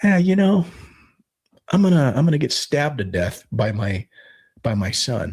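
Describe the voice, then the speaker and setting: Somewhat breathy and fairly high in pitch, a man speaks at a moderate pace with very wide pitch swings and long, frequent pauses. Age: 60s. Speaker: podcast co-host, homesteader. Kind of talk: casual chat. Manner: halting, with repetitions.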